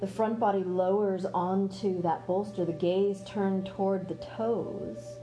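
A woman speaks in a calm, gentle tone at a fairly slow pace, with ordinary pitch variation, hardly any pauses, and music in the background. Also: medium pitch for a woman. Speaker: yoga teacher. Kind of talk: guided restorative yoga instruction with soothing cues. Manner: slow, calm, step-by-step cueing of body placement; gentle, soothing, spiritual and nurturing.

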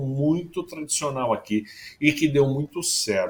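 A somewhat breathy man at a fairly slow pace. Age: 50s. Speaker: foreign correspondent journalist. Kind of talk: casual chat.

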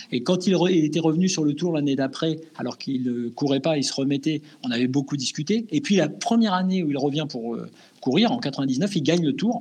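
At a fairly quick pace, a man with a fairly high pitch speaks in an ordinary speaking voice with lively intonation. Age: 50s. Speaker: sports journalist. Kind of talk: casual interview.

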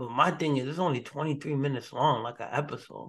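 At a moderate pace, a man with a fairly high pitch speaks in a normal speaking voice. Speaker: podcast host and ring announcer. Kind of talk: casual banter opening with a hyped ring-announcer bit.

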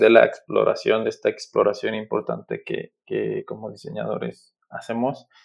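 A man is talking. He keeps a moderate pace. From Mexico, Aguascalientes. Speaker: graphic designer. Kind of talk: casual interview. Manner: halting, many repetitions.

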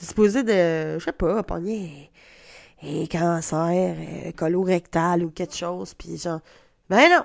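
In a Quebec accent, a woman talks in an animated tone at a fairly low pitch. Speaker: comedian. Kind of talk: solo comedy podcast monologue. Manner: halting.

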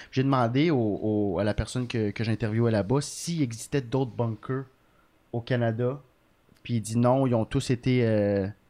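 An unremarkable speaking voice from a man of medium pitch, fairly even in intonation, at a fairly slow pace against a quiet background. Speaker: comedian. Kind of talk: casual chat.

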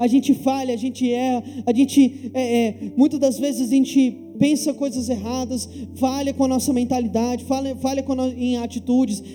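The man's pitch is extremely high, and his intonation is monotone and flat. He keeps a moderate pace over noticeable background noise. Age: 20s. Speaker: pastor. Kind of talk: sermon. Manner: halting, with frequent fillers and repetitions.

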